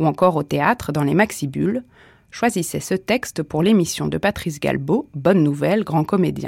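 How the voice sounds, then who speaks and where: Over a very clean recording with a silent background, a woman with a fairly low pitch and vocal fry talks at a moderate pace with lively intonation. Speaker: radio presenter. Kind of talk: radio announcement introducing a reading. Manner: formal, clear.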